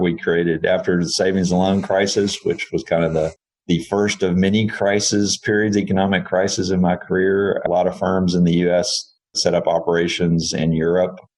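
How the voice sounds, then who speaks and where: In a Texan accent, a man speaks at a very deep, low pitch with monotone, flat intonation. His pace is moderate, his loudness very even, and he hardly pauses. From Texas. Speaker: engineering firm CEO. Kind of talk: podcast interview.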